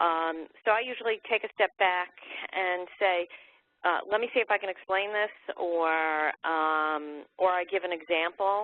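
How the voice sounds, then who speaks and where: A woman speaks fairly slowly in a fairly low voice with fairly even intonation. It is an unremarkable speaking voice. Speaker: webinar panelist. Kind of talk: webinar presentation.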